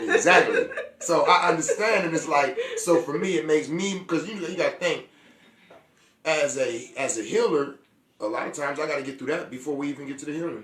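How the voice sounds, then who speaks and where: In an animated tone, a man speaks at a fairly quick pace. His voice is fairly high, with ordinary pitch variation. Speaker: healer and show host. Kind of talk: casual chat. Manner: loud.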